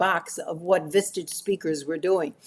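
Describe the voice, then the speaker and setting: Against a quiet background, a woman with a New York accent talks at a moderate pace. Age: 80s+. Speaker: professional speaker. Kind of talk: interview answer.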